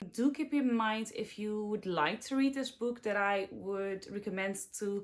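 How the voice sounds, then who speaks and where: A woman with a Dutch accent, fairly high in pitch, at a moderate pace with ordinary pitch variation. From Netherlands. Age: 20s. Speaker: book youtuber. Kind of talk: casual chat.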